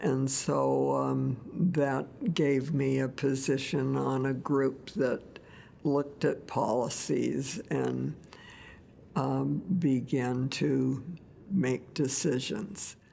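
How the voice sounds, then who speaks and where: With an American accent, a woman talks at a very slow pace while her loudness stays very even. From Oregon, USA. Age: 80s+. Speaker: lobbyist and former elected official. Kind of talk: oral history interview answer.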